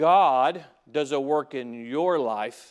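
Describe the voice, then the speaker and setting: A man's voice with ordinary pitch variation, in a Southern US accent. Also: very clean recording, silent background. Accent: US South. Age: 40s. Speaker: pastor. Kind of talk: sermon. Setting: church. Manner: halting.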